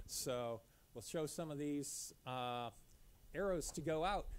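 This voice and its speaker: A man speaks at a very slow pace. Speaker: presenter. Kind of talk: lecture. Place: hall.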